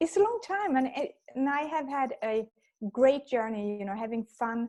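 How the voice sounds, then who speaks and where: Her tone is dark and mellow. This woman keeps a fairly slow pace. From Sweden. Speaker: leadership coach. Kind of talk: interview.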